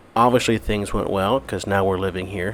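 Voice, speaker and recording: Noticeable background noise sits behind a man whose pitch is very deep and low. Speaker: missionary. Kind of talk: video update. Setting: apartment at night. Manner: halting, many fillers; quiet, hushed.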